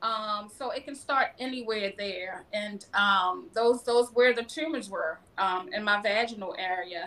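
A woman's plain, everyday voice, fairly high in pitch with ordinary pitch variation, at a fairly slow pace. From Baltimore, Maryland, US. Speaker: cancer survivor and public speaker. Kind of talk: casual interview, personal testimony.

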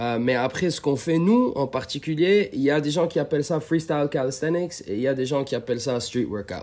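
With a plain, everyday voice, a man talks at a fairly high pitch with ordinary pitch variation and hardly any pauses. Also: fairly quick pace. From Lebanon. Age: 20s. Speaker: street workout athlete. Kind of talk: casual chat.

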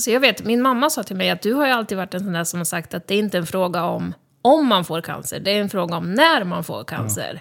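A woman at a medium pitch with vocal fry, very wide pitch swings and a very fast pace. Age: 30s. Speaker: cancer patient and podcaster. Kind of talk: casual interview. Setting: studio.

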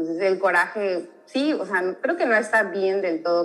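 Noticeable background noise runs under this clip. A woman speaks at a moderate pace. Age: 20s. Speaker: guest. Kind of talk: casual chat.

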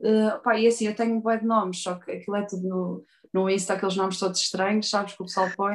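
The intonation stays fairly even. The speaker has a European Portuguese accent. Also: woman. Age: 30s. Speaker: tattoo artist. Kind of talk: interview.

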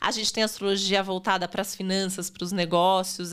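Over a silent background in a very clean recording, a woman speaks at a fairly quick pace with a bright, sharp tone and medium pitch. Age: 40s. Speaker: astrologer. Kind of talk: casual chat.

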